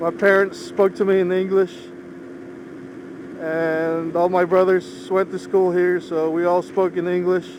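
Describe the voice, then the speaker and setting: In a Philippine accent, a man speaks with long, frequent pauses over noticeable background noise. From Philippines, moved to US at age 10. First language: Ilocano. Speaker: motorcycle vlogger. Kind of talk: casual vlog monologue while riding. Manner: measured, not fast.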